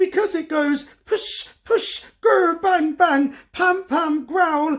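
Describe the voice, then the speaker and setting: In a put-on character voice, the speaker sounds squeaky and extremely high-pitched at a very slow pace. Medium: read story. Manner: nervous, stammering.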